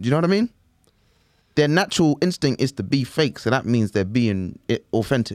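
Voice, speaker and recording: A man with a London accent and a medium pitch speaks at a fairly quick pace with lively intonation. His loudness stays very even, in a dry, close sound with no echo. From East London. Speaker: comedian. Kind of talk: casual chat. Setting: studio.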